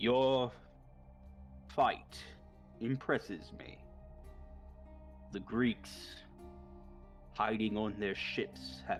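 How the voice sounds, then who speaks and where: Over clear background music, a man uses a resonant, fairly low put-on character voice with very wide pitch swings, speaking at a very slow pace with long, frequent pauses. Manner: commanding.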